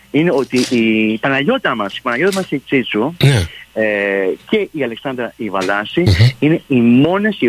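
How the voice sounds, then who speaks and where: The sound is dry and close, with no echo. A man at a medium pitch makes very wide pitch swings. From Montreal, Canada. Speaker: theatre director. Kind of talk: radio interview.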